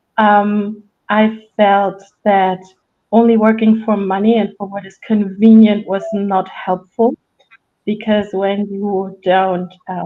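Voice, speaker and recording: A woman's medium-pitched voice with a German accent, very slow, with big swings in loudness. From Germany. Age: 40s. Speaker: resilience coach and author. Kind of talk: podcast interview. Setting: live stream. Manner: hesitant, searching for words.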